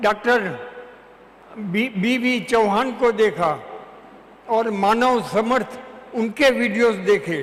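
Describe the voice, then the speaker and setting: Against noticeable background noise, a man talks at an extremely high pitch with ordinary pitch variation. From Chhattisgarh, India. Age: 80s+. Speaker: retired advocate. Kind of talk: testimony. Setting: auditorium with audience.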